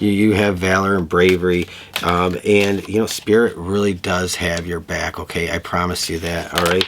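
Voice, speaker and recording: There is noticeable background noise in this clip. A man talks at a moderate pace in a fairly low pitch. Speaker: tarot reader. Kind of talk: tarot reading monologue.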